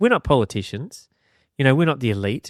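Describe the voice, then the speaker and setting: A man speaks with an Australian accent. The recording is very clean with a silent background, and the sound is dry and close with no echo. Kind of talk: casual interview conversation.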